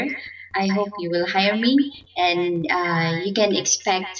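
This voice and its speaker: The voice belongs to a woman with a Filipino accent. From Philippines. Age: 40s. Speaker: domestic worker. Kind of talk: job interview. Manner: halting, repeats words. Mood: polite, somewhat nervous, hesitant. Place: home room. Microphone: headset.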